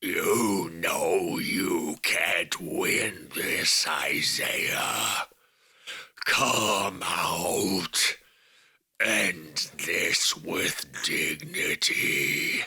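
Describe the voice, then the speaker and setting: A booming, raspy put-on character voice speaks at a very slow pace with very even loudness. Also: man. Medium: audio drama. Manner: orating, grandiose.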